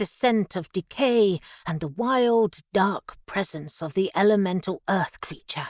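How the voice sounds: A natural reading voice. Pitch variation is ordinary.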